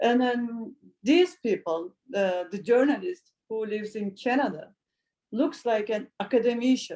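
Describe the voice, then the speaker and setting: Lively in intonation, a woman speaks at a fairly slow pace. Her voice has a fairly high pitch and a dark, mellow tone. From Turkey. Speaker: journalist. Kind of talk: panel discussion. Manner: halting.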